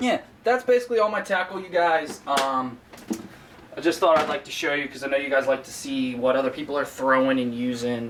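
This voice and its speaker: This man has an American accent and talks at a moderate pace with ordinary pitch variation. There is noticeable background noise. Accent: slips into a southern US. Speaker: fishing YouTuber. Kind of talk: casual tutorial to camera. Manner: frequent filler 'um', casual.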